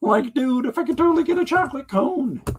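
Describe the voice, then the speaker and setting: A man speaks in a put-on character voice at an extremely high pitch. He talks at a very fast pace. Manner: laid-back, goofy.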